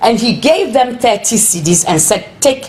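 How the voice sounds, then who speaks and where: A woman's lively intonation rises above noticeable background noise as she talks at a moderate pace. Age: 60s. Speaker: protester. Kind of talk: interview testimony.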